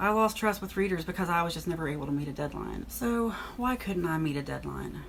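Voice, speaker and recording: Talking at a very fast pace, a woman with a fairly low pitch is heard over noticeable background noise. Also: lively intonation. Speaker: author and former accountant. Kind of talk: casual vlog monologue. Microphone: poor microphone.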